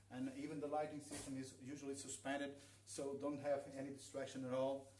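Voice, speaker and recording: A man with a Portuguese accent talks at a fairly quick pace, fairly high in pitch and in a monotone, flat intonation. Audible room echo and noticeable background noise fill the recording. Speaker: aquascaper. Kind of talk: live demonstration workshop. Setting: livestream in a showroom. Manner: halting. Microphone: too quiet.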